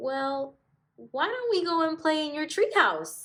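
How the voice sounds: Putting on a character voice, a woman speaks slowly at a high pitch in a fairly bright tone with big pitch swings, with audible room echo around her.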